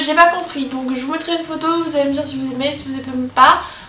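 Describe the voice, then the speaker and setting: A woman speaks in an animated tone over music in the background, with audible room echo. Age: 20s. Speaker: YouTuber. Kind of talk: vlog monologue. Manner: fast.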